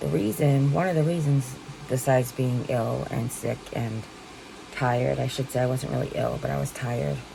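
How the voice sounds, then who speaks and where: There is noticeable background noise. A woman speaks at a moderate pace over it. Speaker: vlogger with stage 4 kidney cancer. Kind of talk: casual talk to camera.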